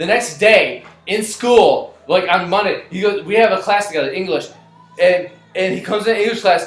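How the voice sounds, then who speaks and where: A man with a high-pitched voice speaks in a fairly even intonation over background music. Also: moderate pace. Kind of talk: story time. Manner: casual, profane.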